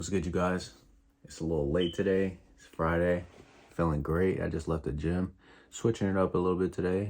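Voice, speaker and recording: On a very clean recording with a silent background, a relaxed voice moves at a fairly quick pace with fairly even intonation and big swings in loudness. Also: man, very deep, low pitch for a man. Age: 20s. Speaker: motivational vlogger. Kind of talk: casual vlog monologue. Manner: relaxed, lower tone.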